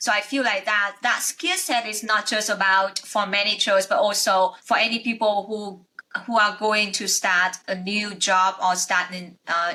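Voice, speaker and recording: A woman with a non-native accent speaks at a fairly slow pace in a medium pitch, her intonation fairly even and her speech with hardly any pauses. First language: not English. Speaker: podcast host, accountant. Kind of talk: interview conversation. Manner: halting.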